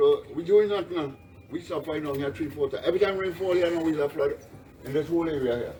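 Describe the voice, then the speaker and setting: Over noticeable background noise, a man with a Trinidadian accent speaks at a very fast pace and a high pitch, with ordinary pitch variation. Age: 60s. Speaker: flood-affected resident. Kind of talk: on-the-spot interview. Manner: animated.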